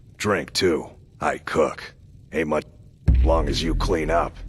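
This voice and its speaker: A man puts on a character voice, raspy and very deep in pitch. He talks at a moderate pace with music in the background. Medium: video game. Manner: terse, plain-spoken.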